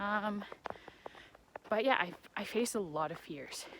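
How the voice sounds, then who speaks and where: A woman with lively intonation and an animated tone, plus noticeable background noise. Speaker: vlogger. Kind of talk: casual vlog monologue. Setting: outdoors walking on train tracks. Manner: rambling tangents, animated. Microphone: muffled.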